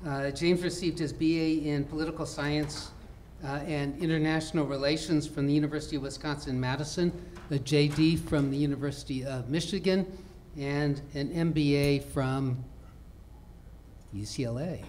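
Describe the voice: With a slightly mellow tone, a man talks at a moderate pace, his fairly high pitch held in fairly even intonation.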